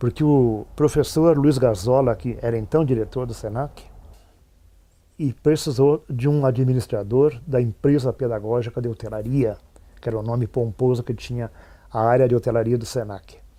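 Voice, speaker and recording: A man speaks at a moderate pace and medium pitch. His tone is dark and mellow, with fairly even intonation. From Rio Grande do Sul, Brazil (São Francisco de Paula). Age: 70s. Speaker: retired teacher and administrator. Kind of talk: interview testimony.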